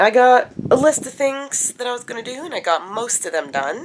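A woman speaks at a moderate pace. Her pitch is fairly high and swings widely.

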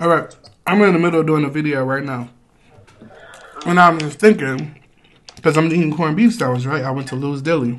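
With ordinary pitch variation, a man talks fairly quickly while light background noise sits behind him. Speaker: food show host. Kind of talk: casual vlog chat. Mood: relaxed, playful. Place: home room.

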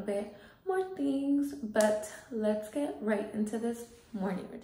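A woman speaks at a moderate pace with ordinary pitch variation. Audible room echo is present around her. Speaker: vlogger. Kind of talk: casual vlog chat. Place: bathroom. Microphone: phone near.

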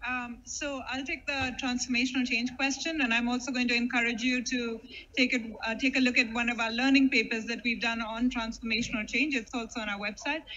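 Fairly quick and with few pauses, a woman speaks at a fairly high pitch in a bright, sharp tone with fairly even intonation.

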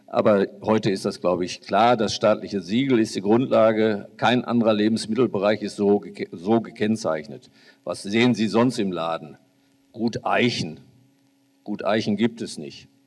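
At a moderate pace, a man talks at a fairly low pitch with ordinary pitch variation. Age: 60s. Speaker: farmer and politician; politician. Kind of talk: panel discussion. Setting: stage with audience. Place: hall. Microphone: handheld.

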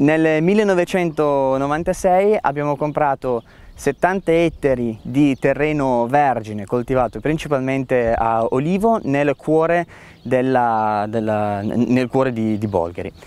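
In a very clean recording with a silent background, a man speaks very slowly with very even loudness and lively intonation. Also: medium pitch for a man. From Piedmont, Italy. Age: 20s. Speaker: winemaker. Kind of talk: interview monologue.

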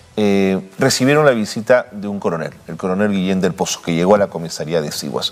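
A man with a fairly low pitch, a normal speaking voice, and lively intonation. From Peru. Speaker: TV news host. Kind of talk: TV interview. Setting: studio. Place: studio.

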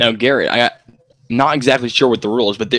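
A man has an unremarkable speaking voice at a medium pitch. His intonation stays fairly even, and the sound is dry and close with no echo. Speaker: color commentator. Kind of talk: live baseball commentary, play-by-play calls.

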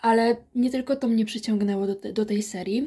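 This woman's fairly high voice has a dark, mellow tone, fairly even intonation and a moderate pace. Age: 20s. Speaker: book reviewer. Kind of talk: book review vlog.

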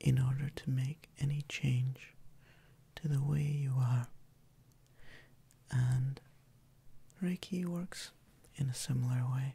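Soft-spoken and somewhat breathy, a man talks at a very slow pace with long, frequent pauses, his tone calm, dark and mellow and his intonation fairly even. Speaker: Reiki practitioner and ASMR creator. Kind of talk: ASMR relaxation introduction. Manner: soft-spoken, calm, slow. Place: home room.

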